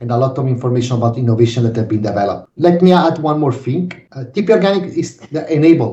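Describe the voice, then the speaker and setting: A man with an Italian accent talks at a very fast pace with hardly any pauses, lively intonation, a medium pitch and a somewhat breathy, dark, mellow tone. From Naples, Italy. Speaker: organic farming association director. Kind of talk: interview.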